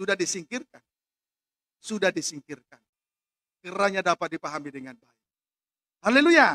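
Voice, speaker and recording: With a high, raised, projected voice and a bright, sharp tone, a man speaks at a moderate pace with lively intonation, big swings in loudness and long, frequent pauses, the sound dry with no echo. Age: 40s. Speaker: pastor. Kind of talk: sermon. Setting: church with congregation, also live-streamed. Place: church. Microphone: podium.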